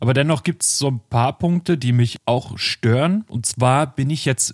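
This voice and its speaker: On a very clean recording with a silent background and a dry, close sound with no echo, a man talks at a very slow pace with a medium pitch and ordinary pitch variation. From northern Germany. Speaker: music podcast co-host. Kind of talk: casual chat. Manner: halting, many fillers.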